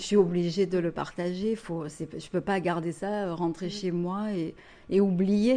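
In a quiet setting, a woman with a medium pitch and a dark, mellow tone speaks with fairly even intonation. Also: fairly slow pace. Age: 20s. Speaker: therapist. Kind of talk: casual interview testimony.

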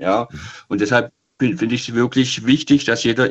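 This is an unremarkable speaking voice with fairly even intonation. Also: man. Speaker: caller. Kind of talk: phone-in conversation. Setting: phone call.

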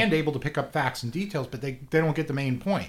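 Somewhat breathy and fairly high-pitched, a man with an American accent speaks with lively intonation. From South Florida. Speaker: learning center owner. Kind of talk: radio interview.

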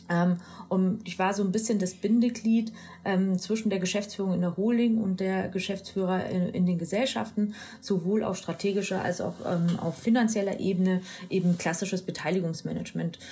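This woman's dark, mellow voice is somewhat breathy, with fairly even intonation. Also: medium pitch for a woman, moderate pace. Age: 40s. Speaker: e-commerce executive. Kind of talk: interview.

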